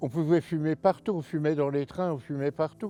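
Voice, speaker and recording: Music plays in the background of a dry, close recording with no echo, where the voice shows ordinary pitch variation. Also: man. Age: 70s. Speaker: retired heating fitter, ex-smoker interviewee. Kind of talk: interview testimony. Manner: halting.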